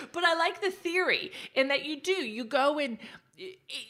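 Raised and projected, a woman's animated voice carries an American accent at a moderate pace. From Texas. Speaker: digital marketing strategist. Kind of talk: casual interview chat. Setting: remote call.

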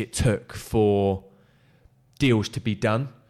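In a very clean recording with a silent background, a man with an English accent speaks at medium pitch with fairly even intonation. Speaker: recruitment consultant. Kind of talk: casual chat. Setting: shared office space.

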